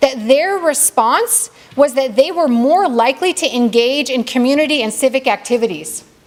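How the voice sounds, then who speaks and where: A woman's high-pitched voice with lively intonation over noticeable background noise. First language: not Arabic. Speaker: community speaker at mosque banquet. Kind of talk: banquet speech. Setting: banquet hall with audience. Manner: halting, self-correcting.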